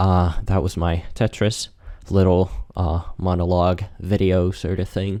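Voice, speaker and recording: A man's very deep, low voice with vocal fry and a dark, mellow tone, on a very clean recording with a silent background. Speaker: video creator seeking accent feedback. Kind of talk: casual monologue while gaming. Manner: hesitant, many fillers and repeats.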